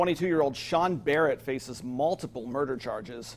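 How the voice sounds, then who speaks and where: Speaking in an unremarkable speaking voice with an American accent, a man talks at a fairly quick pace with ordinary pitch variation. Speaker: television news anchor and reporter. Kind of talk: TV news anchor delivery.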